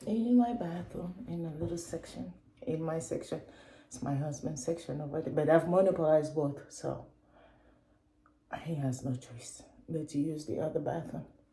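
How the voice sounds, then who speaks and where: In a very deep, low voice, a woman speaks at a moderate pace with lively intonation and long, frequent pauses. Audible room echo surrounds her. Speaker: beauty and lifestyle vlogger. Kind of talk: casual vlog chat, makeup tutorial. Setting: at home in her bathroom.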